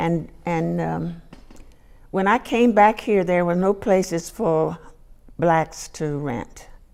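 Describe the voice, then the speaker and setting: A woman with an American accent talks at a very slow pace, her pitch fairly low. She leaves long, frequent pauses. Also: ordinary pitch variation. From Rockville, Maryland, US. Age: 80s+. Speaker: oral history interviewee. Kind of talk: oral history interview. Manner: halting.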